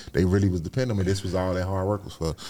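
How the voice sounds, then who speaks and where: Talking at a very fast pace, a man has a fairly low voice with a dark, mellow tone. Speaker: content creator and youth advocate. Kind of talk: casual interview.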